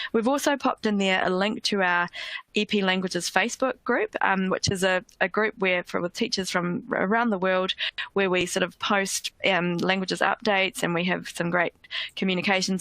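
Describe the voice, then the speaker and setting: A woman with a New Zealand accent speaks at a fairly quick pace in a medium pitch, with a bright, sharp tone, ordinary pitch variation and a dry, close sound with no echo. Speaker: education company languages head, former French teacher. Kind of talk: webinar presentation. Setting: online webinar. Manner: hesitant with frequent fillers.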